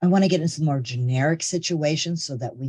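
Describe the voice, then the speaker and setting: Against a quiet background, a man with a dark, mellow tone and a somewhat breathy sound talks at a fairly quick pace with ordinary pitch variation. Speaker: benefits trainer. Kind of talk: webinar tutorial. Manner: occasional stutter.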